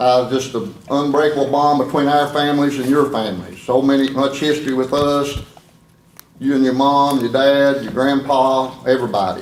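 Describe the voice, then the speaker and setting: Over noticeable background noise and audible room echo, a man with an Appalachian accent talks at a moderate pace, his fairly high pitch carried in fairly even intonation. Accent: Appalachian southern US. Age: 60s. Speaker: family member accepting a resolution. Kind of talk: public meeting speech. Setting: county board meeting.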